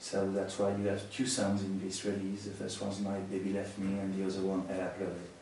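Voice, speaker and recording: A man with a French accent and fairly low pitch, heard with audible room echo. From France. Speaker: musician. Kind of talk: interview. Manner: halting.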